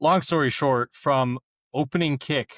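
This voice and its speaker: A normal speaking voice from a man with ordinary pitch variation, dry and close with no echo, on a very clean recording with a silent background. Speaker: college football podcast co-host. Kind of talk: casual chat.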